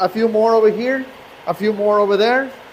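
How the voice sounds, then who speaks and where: A man with a high pitch speaks at a moderate pace in monotone, flat intonation, with noticeable background noise behind him. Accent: Mexican. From Mexico. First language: Spanish. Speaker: truck repair shop owner. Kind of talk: live-stream shop tour. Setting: outdoors at a truck shop, rainy day. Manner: halting, with repetitions and fillers.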